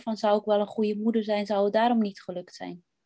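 Fairly even intonation in a woman's dark, mellow tone. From Netherlands, West Friesland. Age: 40s. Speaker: former maths teacher, interview guest. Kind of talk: personal interview testimony. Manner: hesitant, many fillers.

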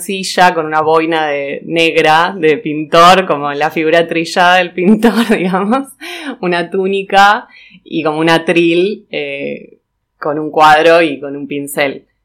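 In a Rioplatense accent, a woman talks at a fairly slow pace and a fairly low pitch with ordinary pitch variation. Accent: Argentine Spanish (rioplatense). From Argentina, Patagonia (Neuquén). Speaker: textile designer. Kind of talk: casual interview. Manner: hesitant, many fillers.

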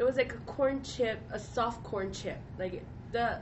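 Audible room echo surrounds a woman speaking at a fairly slow pace. Her pitch varies in an ordinary way. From Hawaii. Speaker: traveler. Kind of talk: casual chat.

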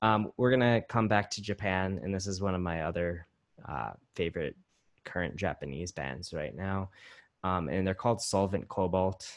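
A man with a very deep, low pitch speaks at a moderate pace. His pitch varies in an ordinary way, and the background is quiet. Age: 30s. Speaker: podcast host, punk musician. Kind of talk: casual chat. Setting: video call.

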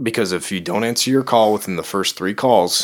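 With a Chicago accent, a man speaks at a fairly low pitch and ordinary pitch variation on a very clean recording with a silent background. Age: 20s. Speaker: podcast co-host and DJ. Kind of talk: casual chat.

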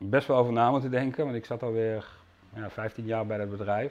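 With a slight Limburg accent, a man talks at a moderate pace in a medium pitch and fairly even intonation. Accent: slight Limburg accent, soft G. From Limburg, Netherlands. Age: 40s. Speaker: carp angler and media manager. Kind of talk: interview.

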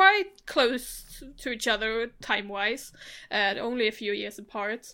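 A woman's fairly high voice in a Swedish accent, bright and sharp in tone, with lively intonation at a fairly slow pace, on a very clean recording with a silent background. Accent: Blekinge Swedish, throaty R. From Sweden, Blekinge. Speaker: film podcast co-host. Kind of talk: casual chat.

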